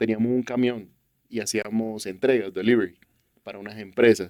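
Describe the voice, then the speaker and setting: Pitched at a medium level, a man speaks in a dark, mellow tone with fairly even intonation. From Colombian Caribbean coast, Barranquilla. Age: 40s. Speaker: youth church leader and businessman. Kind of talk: testimony interview.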